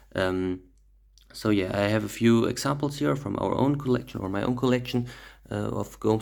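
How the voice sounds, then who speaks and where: Delivered at a moderate pace in a German accent, the speech shows ordinary pitch variation. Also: man. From Germany. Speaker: rug dealer. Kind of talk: tutorial. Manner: halting, many fillers.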